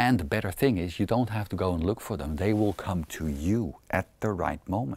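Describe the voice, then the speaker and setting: A man's very deep, low voice at a moderate pace, with ordinary pitch variation and hardly any pauses. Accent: Dutch. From Netherlands. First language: Dutch. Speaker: self-help coach. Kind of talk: self-help talk to camera.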